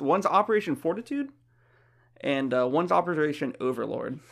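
A man with an American accent talks at a fairly quick pace in a normal speaking voice, pitched fairly high. His intonation is lively, and the recording is very clean with a silent background. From Florida, US South. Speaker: podcast co-host. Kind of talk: casual chat.

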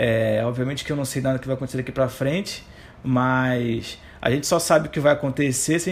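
A man talks at a fairly quick pace and a medium pitch, sounding somewhat breathy. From Rio de Janeiro, Brazil. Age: 30s. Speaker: economist. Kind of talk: interview.

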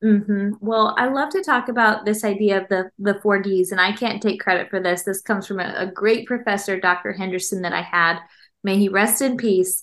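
Against a quiet background, a woman with an unremarkable speaking voice talks at a fairly quick pace in a medium pitch with fairly even intonation. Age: 30s. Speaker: clinical psychologist and author. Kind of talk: casual interview.

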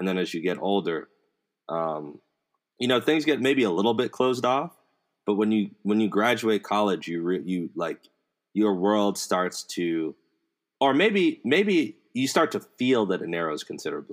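A plain, everyday voice from a man with an American accent, fairly low in pitch and lively in intonation, on a very clean recording against a silent background. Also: moderate pace. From DMV area, Maryland (US Mid-Atlantic). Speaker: podcast host. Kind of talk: casual conversation.

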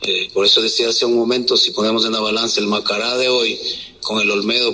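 Noticeable background noise mixed with audible room echo. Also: man. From Quito, Ecuador. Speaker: football coach. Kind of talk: press conference.

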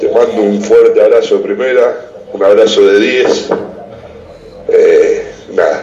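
A man speaks at a fairly slow pace, leaving long, frequent pauses. Audible room echo and noticeable background noise surround him. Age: 30s. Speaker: caller. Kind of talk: casual chat. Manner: halting.

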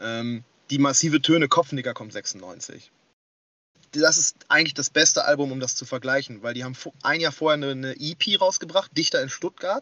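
The speaker keeps a moderate pace with ordinary pitch variation. Loudness swings widely from moment to moment. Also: man, fairly high pitch for a man. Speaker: rapper and forum moderator. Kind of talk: casual chat. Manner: hesitant, many fillers.

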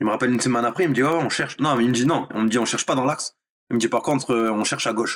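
At a very fast pace, a man speaks at medium pitch. His loudness stays very even and his intonation fairly even. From France, Nice. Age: 30s. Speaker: professional footballer. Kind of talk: interview. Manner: hesitant, filler-heavy.

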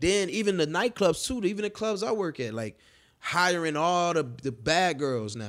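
This man's high pitch moves in very wide swings at a moderate pace. The recording is very clean, with a silent background. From Chicago West Side. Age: 30s. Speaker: party promoter. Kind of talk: casual chat. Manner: energetic.

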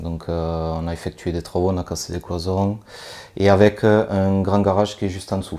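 A man with a very deep, low pitch and a dark, mellow tone speaks in a monotone, flat intonation. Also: moderate pace. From southern France, Toulouse area. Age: 20s. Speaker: property investor and machinist. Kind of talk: interview during property tour. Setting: on location in a renovated apartment.

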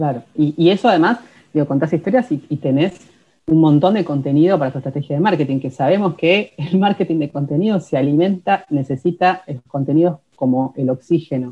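A woman talks at a fairly quick pace in a Rioplatense accent. Her pitch is very deep and low, with ordinary variation. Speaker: writer and podcast co-host. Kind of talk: casual instructional chat.

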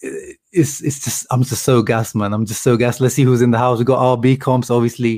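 A normal speaking voice moves at a moderate pace in a very clean recording with a silent background. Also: man. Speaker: football fan vlogger. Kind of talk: live reaction commentary, post-match fan rant. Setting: home, webcam or mic video stream.

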